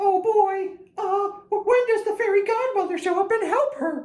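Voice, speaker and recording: In a cartoonish character voice, the speaker talks at an extremely high pitch and a moderate pace. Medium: puppet. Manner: upbeat, excitable, squeaky-clean.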